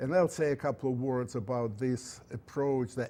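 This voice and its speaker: A man with a Russian accent speaks at a medium pitch. His tone is dark and mellow, and his intonation is fairly even. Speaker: engineering professor. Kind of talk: lecture. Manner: halting.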